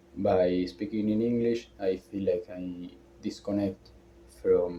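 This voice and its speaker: Speaking very slowly, a man with a fairly low pitch has a strong non-native accent. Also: fairly even intonation. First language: not English. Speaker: vlogger. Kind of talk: personal vlog monologue. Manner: halting, hesitant.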